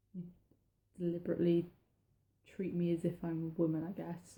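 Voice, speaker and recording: In a flat monotone, a woman talks at a moderate pace with a fairly low, somewhat breathy voice and a dark, mellow tone. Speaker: vlogger. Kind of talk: personal vlog talk. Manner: halting.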